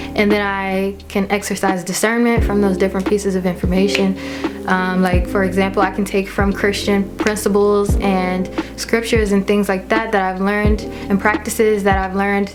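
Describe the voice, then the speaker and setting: A woman's medium-pitched voice, monotone and flat, with very even loudness and music in the background. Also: moderate pace. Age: 20s. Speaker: lifestyle vlogger. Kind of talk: casual monologue to camera.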